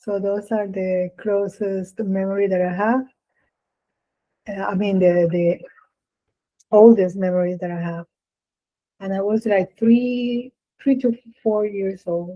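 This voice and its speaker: Long, frequent pauses mark a woman's fairly slow speech in a Spanish accent. Her medium-pitched voice keeps a fairly even intonation. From Puerto Rico. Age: 60s. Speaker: experimental vocalist. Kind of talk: interview answers. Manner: halting.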